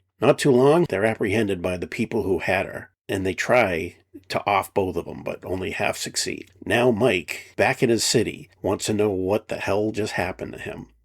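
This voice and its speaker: A man puts on a raspy character voice, fairly low in pitch, speaking at a moderate pace with ordinary pitch variation. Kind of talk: late-night film commentary. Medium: solo performance. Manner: blunt, conversational, wry.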